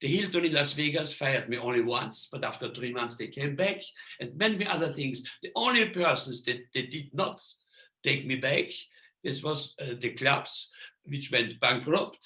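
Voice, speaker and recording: At a moderate pace, a man with a fairly high voice speaks with lively intonation. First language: non-English. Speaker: magician. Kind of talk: lecture. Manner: halting.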